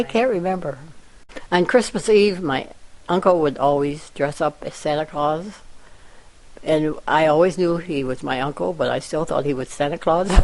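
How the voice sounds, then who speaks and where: With a Midwestern American accent, a woman speaks at a moderate pace in a very deep, low voice, using ordinary pitch variation and long, frequent pauses. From Iowa. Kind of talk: interview answer.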